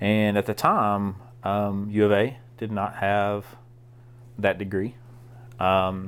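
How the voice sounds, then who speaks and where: On a very clean recording with a silent background, a man with a Southern US accent speaks at a fairly low pitch in a monotone, flat intonation. His pace is very slow, with long, frequent pauses. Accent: Southern American. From US South, southeast Arkansas. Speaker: college ministry director. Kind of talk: casual chat.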